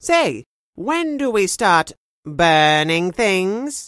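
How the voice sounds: A female-sounding, put-on character voice at medium pitch moves at a very slow pace on a very clean recording with a silent background.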